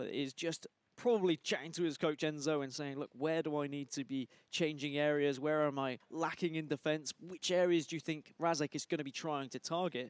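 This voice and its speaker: With an ordinary speaking voice, a man talks at a fairly quick pace in a fairly high pitch with fairly even intonation. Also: dry, close sound with no echo. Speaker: esports commentator. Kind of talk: live commentary.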